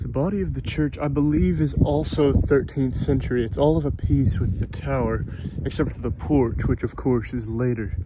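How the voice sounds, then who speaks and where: The pace is moderate. The sound is dry with no echo, though noticeable background noise is present. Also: man. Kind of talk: commentary. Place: open country. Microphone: phone near.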